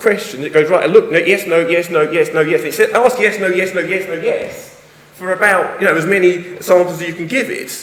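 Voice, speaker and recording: Someone with an English accent speaks at a very fast pace with ordinary pitch variation, amid noticeable background noise and audible room echo. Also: man. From England. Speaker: university lecturer and researcher. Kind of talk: conference talk. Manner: animated.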